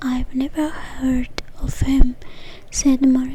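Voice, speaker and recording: Someone soft-spoken talks at a very slow pace over noticeable background noise. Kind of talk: read story; ASMR.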